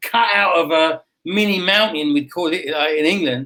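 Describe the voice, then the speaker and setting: An English accent marks this man's bright, sharp voice, high in pitch with ordinary variation, at a moderate pace. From United Kingdom. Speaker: real estate agent. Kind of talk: interview answer. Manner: casual, chatty.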